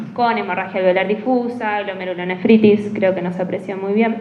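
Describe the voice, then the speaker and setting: A woman is recorded with noticeable background noise and audible room echo. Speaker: rheumatology physician presenting a case. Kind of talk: medical case presentation.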